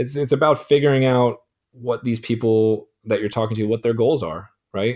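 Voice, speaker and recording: In a very clean recording with a silent background, a man with an ordinary speaking voice talks at a moderate pace and medium pitch. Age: 40s. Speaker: sales executive. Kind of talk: interview.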